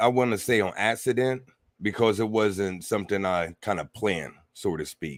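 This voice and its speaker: A man with an American accent and an ordinary speaking voice talks at a fairly low pitch with lively intonation. The pace is moderate, and the recording is very clean with a silent background. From United States. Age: 40s. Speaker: spiritual teacher. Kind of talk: interview. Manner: casual.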